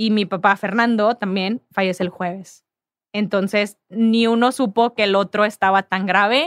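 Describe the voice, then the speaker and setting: A woman has an unremarkable speaking voice, speaking at a fairly slow pace with a medium pitch and fairly even intonation. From Mexico, Ciudad Victoria, Tamaulipas. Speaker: sports agency founder. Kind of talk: casual interview.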